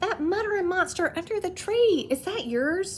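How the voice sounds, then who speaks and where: Over clear background noise, a squeaky, put-on character voice speaks at a moderate pace in an excited tone. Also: woman, extremely high pitch for a woman. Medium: read story. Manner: excited, blurting.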